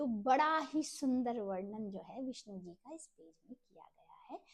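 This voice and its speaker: Lively intonation in a somewhat breathy female voice. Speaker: religious text reader, channel host. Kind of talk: scripture reading and explanation. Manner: slow.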